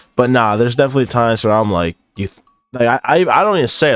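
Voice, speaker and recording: A man rattles along at a very fast pace, his pitch variation ordinary, while music plays in the background. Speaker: gaming/commentary YouTuber. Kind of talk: casual chat, quiz reaction. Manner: mumbling; varies loud and soft.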